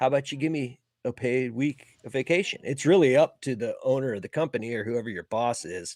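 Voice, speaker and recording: A man with an unremarkable speaking voice talks at a medium pitch and a fairly quick pace, with ordinary pitch variation. The sound is dry and close, with no echo. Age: 40s. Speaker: HVAC service technician. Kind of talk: casual chat.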